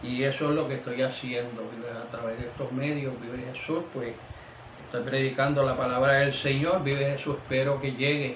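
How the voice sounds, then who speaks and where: A man speaks at a moderate pace in a monotone, flat intonation. Audible room echo and noticeable background noise surround him. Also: medium pitch for a man. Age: 70s. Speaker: pastor. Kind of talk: sermon. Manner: repeats 'vive Jesús' constantly; halting with fillers.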